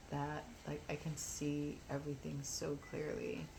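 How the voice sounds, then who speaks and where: The pace is very slow. Room echo can be heard. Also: woman. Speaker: spiritual vlogger. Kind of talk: casual monologue vlog. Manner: subdued, not animated.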